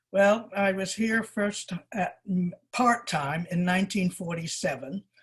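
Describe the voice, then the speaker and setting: A woman speaks at a very slow pace, somewhat breathy, at a medium pitch. Her pitch varies in an ordinary way over a quiet background. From England. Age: 80s+. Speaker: shop owner. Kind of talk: oral history interview. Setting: video call.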